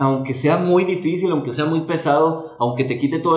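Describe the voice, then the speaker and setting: Somewhat breathy and fairly high-pitched, a man talks with a Mexican accent over a quiet background, with audible room echo. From Mexico. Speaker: podcast co-host. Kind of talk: casual chat. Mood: earnest, emotional. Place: studio.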